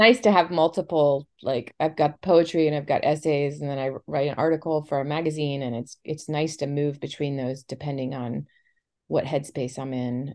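A woman with an American accent speaks in a very deep, low pitch, with ordinary pitch variation. The background is quiet. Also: moderate pace. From Florida, St. Petersburg. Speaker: podcast host, literary arts director. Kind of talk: scripted intro; casual interview.

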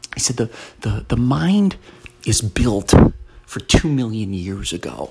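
A soft-spoken man talks at medium pitch and a fairly slow pace, with lively intonation. Long, frequent pauses break his speech, and there is noticeable background noise. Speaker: podcast host. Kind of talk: motivational monologue. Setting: at home, early morning. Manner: soft-spoken, talking quietly.

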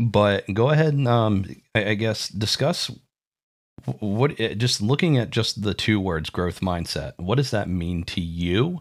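Recorded very cleanly against a silent background, a man with an unremarkable speaking voice talks fairly slowly at a fairly low pitch, his intonation lively. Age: 30s. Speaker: podcast host. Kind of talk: casual chat.

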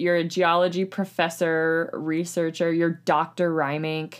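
A woman speaks in a normal speaking voice at a fairly low pitch. Her pace is fairly slow. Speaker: podcast host. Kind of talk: casual chat.

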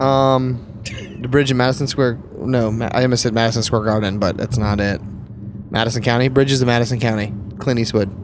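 A man speaks at a fairly quick pace, his pitch medium and his intonation fairly even. Loudness stays very even, with noticeable background noise and audible room echo. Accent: American. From US South. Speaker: podcast host, wedding photographer. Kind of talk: casual chat. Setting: in a car.

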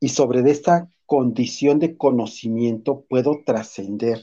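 A man speaks at a very slow pace with a dark, mellow tone and fairly even intonation. The background is quiet. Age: 50s. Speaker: teacher and psychologist. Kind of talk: interview.

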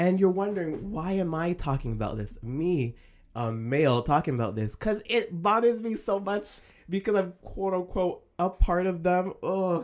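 The speaker uses an animated tone at a moderate pace on a very clean recording with a silent background. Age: 20s. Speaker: YouTuber and podcast host. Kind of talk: casual solo podcast monologue.

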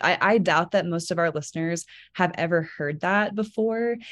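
A woman speaks at a moderate pace in a plain, everyday voice. Her pitch is medium, with ordinary pitch variation. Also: quiet background. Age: 20s. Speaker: podcast co-host. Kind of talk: casual chat. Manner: excitable.

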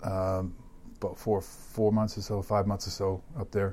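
A man's fairly low, somewhat breathy voice has a dark, mellow tone and monotone, flat intonation. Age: 50s. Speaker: hospital CEO and Navy veteran. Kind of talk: interview. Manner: hesitant, many fillers.

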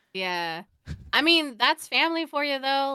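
Over a very clean recording with a silent background and a dry, close sound with no echo, a woman speaks at a moderate pace in a bright, sharp tone with very wide pitch swings. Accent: American. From Oregon, US. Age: 30s. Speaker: podcast co-host. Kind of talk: casual chat.

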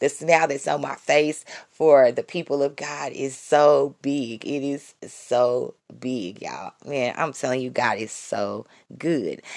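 A woman puts on a raspy character voice with a very deep, low pitch, speaking at a fairly slow pace. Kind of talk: preacher-like, fervent. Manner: excited, joyful.

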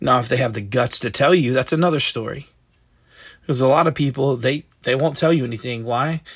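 On a very clean recording with a silent background, a somewhat breathy man of medium pitch talks at a fairly quick pace with fairly even intonation. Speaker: devotional host. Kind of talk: devotional talk with prayer. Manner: informal, conversational.

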